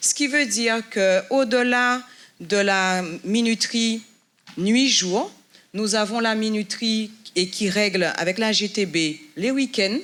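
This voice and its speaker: At a very slow pace with long, frequent pauses, a woman speaks in a fairly high voice with very even loudness and ordinary pitch variation. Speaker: building manager giving a tour. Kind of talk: guided building tour.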